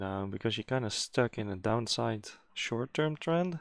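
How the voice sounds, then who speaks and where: Against a quiet background, a man with a non-native accent speaks at a moderate pace and medium pitch with ordinary pitch variation. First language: not English. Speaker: day trader. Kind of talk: live trading commentary.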